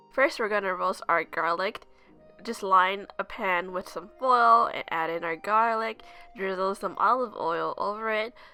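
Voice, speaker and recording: Over music in the background, a woman speaks at a medium pitch and fairly slow pace with ordinary pitch variation. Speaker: cooking youtuber. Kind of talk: tutorial.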